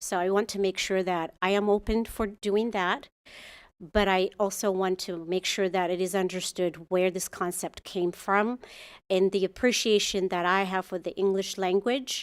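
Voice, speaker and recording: A woman with an Ethiopian accent speaks in a medium pitch with fairly even intonation. The audio is dry and close, without echo. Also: moderate pace. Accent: Ethiopian accent, noticeable. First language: Amharic. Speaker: muralist artist. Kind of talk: public comment at city commission meeting. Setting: council chamber. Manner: halting, with fillers and restarts.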